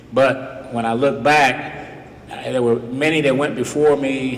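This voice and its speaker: Fairly even intonation from a man with an American accent. Room echo is audible, and there is noticeable background noise. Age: 70s. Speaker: retired police officer speaking at a school. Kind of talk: speech to students.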